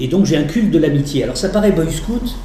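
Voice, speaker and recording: A man talks at a fairly quick pace with lively intonation. There is audible room echo and noticeable background noise. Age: 60s. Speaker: retired teacher and lecturer. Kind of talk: lecture.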